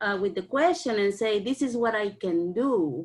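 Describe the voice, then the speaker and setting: Ordinary pitch variation carries speech delivered at a fairly slow pace. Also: woman. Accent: non-native. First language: not English. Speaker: parent participant. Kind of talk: online community discussion. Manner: halting.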